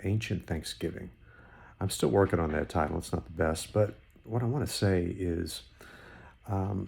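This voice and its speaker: The tone is dark and mellow, somewhat breathy, with ordinary pitch variation. The pace is fairly slow. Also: man. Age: 60s. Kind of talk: unscripted devotional talk. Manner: halting, repetitive; conversational.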